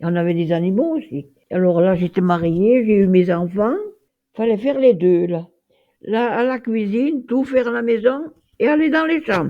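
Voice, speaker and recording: A woman with a fairly high pitch makes very wide pitch swings and takes long, frequent pauses. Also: moderate pace. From France, Auvergne (Puy-de-Dôme). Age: 90s. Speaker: retired farmer. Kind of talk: testimony interview. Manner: halting.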